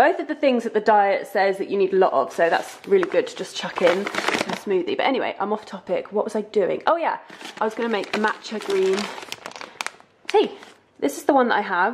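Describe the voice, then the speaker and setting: A woman with very wide pitch swings at a fairly quick pace, amid noticeable background noise. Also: fairly high pitch for a woman. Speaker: lifestyle vlogger. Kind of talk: casual vlog tutorial. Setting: home kitchen.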